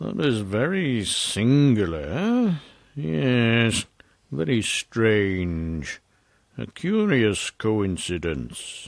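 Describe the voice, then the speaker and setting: A man uses a put-on character voice at a medium pitch, with very wide pitch swings. His pace is very slow. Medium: read story. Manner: deliberate, insinuating.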